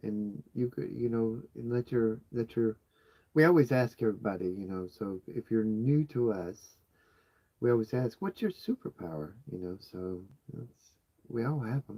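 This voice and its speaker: Soft-spoken, a man talks at a moderate pace and medium pitch with a dark, mellow tone and lively intonation, the sound dry and close with no echo. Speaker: homesteading channel co-host. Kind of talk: casual live chat.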